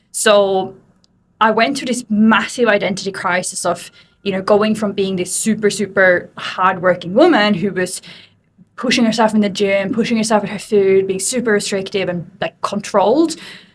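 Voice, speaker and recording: Using fairly even intonation, a woman with an Australian accent talks at a moderate pace and a medium pitch. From Sweden. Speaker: fitness coach. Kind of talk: interview.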